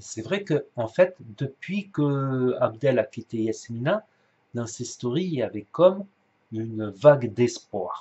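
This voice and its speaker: Speaking very slowly, a man with a somewhat breathy, medium-pitched voice uses lively intonation. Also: big swings in loudness. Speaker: YouTuber commenting on influencer drama. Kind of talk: casual commentary vlog. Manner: soft-spoken; halting, many hesitations. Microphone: poor mic, hard to hear.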